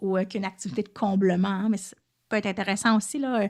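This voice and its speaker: The recording is very clean, and a woman talks against a silent background. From Quebec, Lanaudière. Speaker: French second-language teacher and podcaster. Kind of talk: educational podcast monologue. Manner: fast; casual, many fillers.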